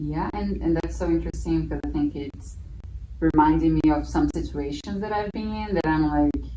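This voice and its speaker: Noticeable noise runs through the background. The woman keeps a moderate pace. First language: Portuguese. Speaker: former au pair, festival guest. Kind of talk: casual conversation.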